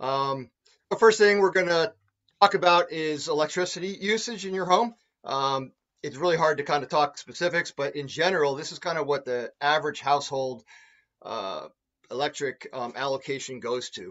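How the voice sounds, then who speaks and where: With a quiet background, a man with a fairly high pitch talks with lively intonation and big swings in loudness. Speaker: energy auditor. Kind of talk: webinar presentation. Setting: video call. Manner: fast talker. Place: home room. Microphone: webcam.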